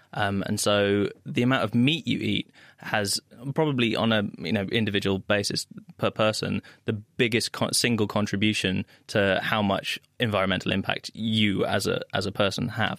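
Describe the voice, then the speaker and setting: In a dry, close recording with no echo, a man with an unremarkable speaking voice talks at a moderate pace, his fairly low pitch carrying fairly even intonation and very even loudness. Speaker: zoologist. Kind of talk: science Q and A panel answers.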